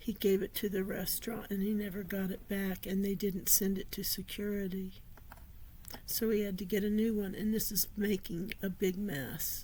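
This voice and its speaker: A woman's somewhat breathy voice with a dark, mellow tone, a medium pitch, a moderate pace and monotone, flat intonation. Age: 60s. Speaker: author and vlogger. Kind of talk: personal vlog monologue.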